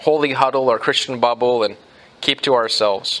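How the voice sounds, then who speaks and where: The man keeps to a moderate pace as he talks. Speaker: pastor. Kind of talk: sermon. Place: church.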